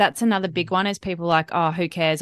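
A woman speaks with an Australian accent in a fairly low pitch. The sound is dry and close, with no echo. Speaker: dietitian. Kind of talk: casual interview.

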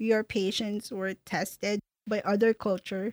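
A woman with a Filipino accent speaks at a fairly high pitch and a fairly slow pace. The recording is very clean with a silent background and a dry, close sound with no echo. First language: Tagalog. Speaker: podcast host. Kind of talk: casual chat.

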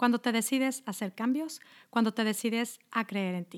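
Using a plain, everyday voice, a woman with fairly high pitch talks at a moderate pace and ordinary pitch variation. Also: dry, close sound with no echo, very clean recording, silent background. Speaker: health coach. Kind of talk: podcast monologue.

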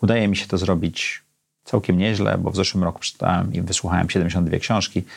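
Fairly quick, fairly even speech from a man with a very deep, low voice. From Poland, Gdańsk. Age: 50s. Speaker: podcast host. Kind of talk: solo monologue.

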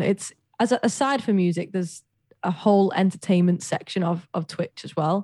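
Her tone is dark and mellow, and she talks at a fairly quick pace with ordinary pitch variation. The recording is very clean with a silent background, and the sound is dry and close with no echo. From Widnes, northwest England. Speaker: singer-pianist and Twitch streamer. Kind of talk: casual interview chat.

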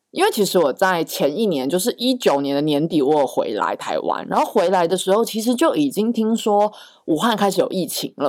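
In a very clean recording with a silent background, a woman talks at a moderate pace with very wide pitch swings. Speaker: podcast co-host. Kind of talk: casual chat.

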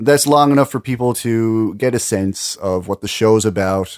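A man speaks in a plain, everyday voice at a fairly low pitch, with ordinary pitch variation and a moderate pace. The sound is dry and close, with no echo. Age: 30s. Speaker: radio host. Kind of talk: casual chat.

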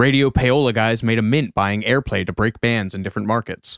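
A man with an American accent talks at a fairly quick pace in an ordinary speaking voice, his medium pitch captured in a very clean recording with a silent background and a dry, close sound with no echo. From US Midwest. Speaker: podcast co-host. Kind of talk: casual chat.

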